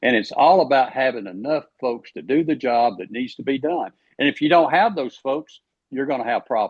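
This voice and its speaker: In an Alabama accent, a man talks at a fairly quick pace with a medium pitch and ordinary pitch variation. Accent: Southern US (Alabama). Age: 70s. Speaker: politician, candidate for agriculture commissioner. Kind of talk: podcast interview.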